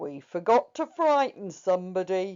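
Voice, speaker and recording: A put-on character voice that sounds female is pitched in the middle range. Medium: read story.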